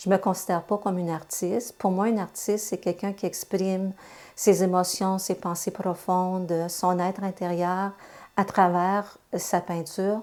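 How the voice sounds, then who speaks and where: A woman speaks at a fairly slow pace in a medium pitch, her intonation monotone and flat, on a very clean recording with a silent background. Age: 60s. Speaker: retired translator and amateur painter. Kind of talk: interview testimony.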